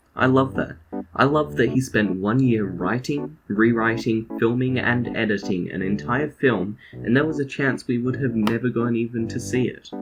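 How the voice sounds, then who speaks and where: A man talks at a moderate pace and medium pitch with hardly any pauses. His pitch varies in an ordinary way over noticeable background noise. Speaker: video essayist. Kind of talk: scripted narration.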